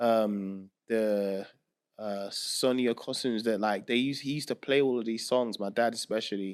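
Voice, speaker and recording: On a very clean recording with a silent background, a man in a Southeast London accent speaks with fairly even intonation. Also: medium pitch for a man, moderate pace. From Nigeria, then Southeast London. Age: 30s. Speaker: music producer. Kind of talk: casual chat.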